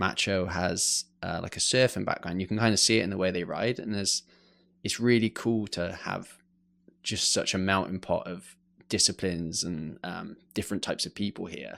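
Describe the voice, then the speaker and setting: With an English accent, a man speaks at a moderate pace in a very deep, low pitch and fairly even intonation, on a very clean recording with a silent background. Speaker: mountain bike photographer. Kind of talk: podcast interview. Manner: hesitant, many fillers.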